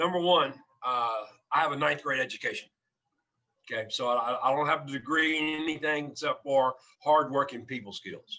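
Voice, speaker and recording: Long, frequent pauses in a man's fairly high, bright, sharp voice at a moderate pace. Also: ordinary pitch variation. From South Louisiana, Cajun (Barataria). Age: 60s. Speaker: restaurant founder. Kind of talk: podcast interview.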